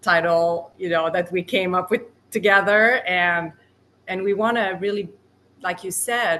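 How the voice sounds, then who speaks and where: A woman with a non-native accent talks at a fairly slow pace and medium pitch. Her tone is bright and sharp, and her intonation is fairly even. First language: not English. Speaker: podcast co-host. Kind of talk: casual podcast conversation.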